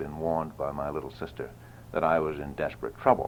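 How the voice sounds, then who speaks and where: Very deep, low male speech in an American accent. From New Hampshire, USA. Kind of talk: oral history tour narration. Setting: old home audio recording.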